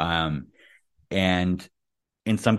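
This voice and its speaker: A man with a New York accent and vocal fry, over a quiet background. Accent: American (New York area). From US, New York City area. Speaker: podcast host. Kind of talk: casual chat. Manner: hesitant, many fillers.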